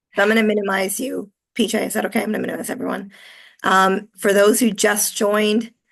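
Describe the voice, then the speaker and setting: This woman talks very fast at a medium pitch with vocal fry. Her intonation stays monotone and flat. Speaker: HR consultant and presenter. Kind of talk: webinar presentation. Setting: video call.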